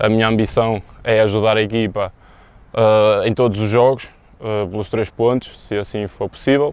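In a dry recording with no echo, a man speaks at a moderate pace in a fairly low, monotone voice with flat intonation. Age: 20s. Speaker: football goalkeeper. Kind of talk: pre-match interview. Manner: halting, many fillers. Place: stadium.

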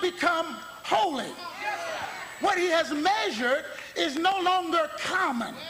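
A man with an extremely high pitch projects a raised voice at a very slow pace, his intonation lively over noticeable background noise. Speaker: bishop, gospel preacher. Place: church. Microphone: podium.

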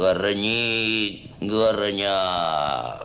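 Background noise is clearly audible as a man does a put-on character voice. He growls at a fairly low pitch. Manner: growling, playful.

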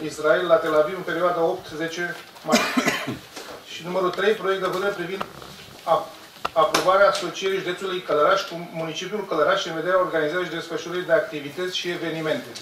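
Over noticeable background noise, a man talks at a fairly quick pace in a high voice with fairly even intonation. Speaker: council chairman. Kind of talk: formal meeting chairing. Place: hall.

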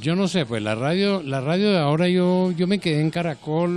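A man's high pitch with ordinary variation. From Colombia. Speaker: veteran news announcer and commercial voice. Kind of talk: casual interview. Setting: event venue. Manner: hesitant, with repetitions. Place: hall. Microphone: handheld.

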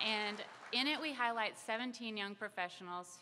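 A woman at a fairly slow pace, with ordinary pitch variation, over light background noise. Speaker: magazine publisher. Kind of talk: speech at a press event. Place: hall. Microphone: podium.

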